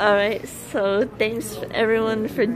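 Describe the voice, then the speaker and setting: Noticeable noise runs behind a woman as she talks. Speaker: vlogger. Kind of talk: casual vlog chat. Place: cafe. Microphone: phone near.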